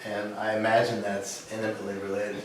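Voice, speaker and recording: Recorded with audible room echo and noticeable background noise, a man is talking. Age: 60s. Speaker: attendee at a small health gathering. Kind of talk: casual group sharing. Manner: halting.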